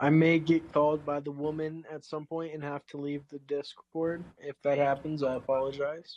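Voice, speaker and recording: Big swings in loudness mark a man's speech, which moves at a moderate pace in a monotone, flat intonation with hardly any pauses. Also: fairly high pitch for a man. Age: 20s. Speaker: live panel participant. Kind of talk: casual chat. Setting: Discord voice call.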